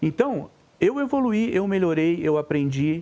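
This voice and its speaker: This man's voice has a dark, mellow tone. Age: 60s. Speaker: sports commentator. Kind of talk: casual chat. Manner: animated.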